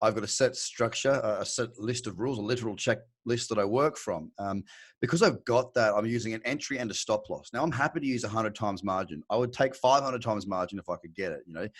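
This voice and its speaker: Speech comes at a very fast pace in an Australian accent with ordinary pitch variation, on a very clean recording with a silent background. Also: man, medium pitch for a man, hardly any pauses. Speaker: crypto trader. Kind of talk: interview. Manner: casual, halting with fillers.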